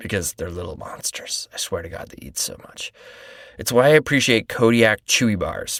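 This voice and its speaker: A man at a moderate pace, with dry, close sound and no echo. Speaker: podcast host. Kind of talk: podcast ad read.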